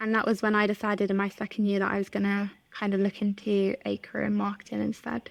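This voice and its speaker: At a very fast pace and with hardly any pauses, a woman speaks in a monotone, flat intonation at very even loudness. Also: medium pitch for a woman. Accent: English. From England, north of London. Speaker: content marketing manager. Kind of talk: podcast interview.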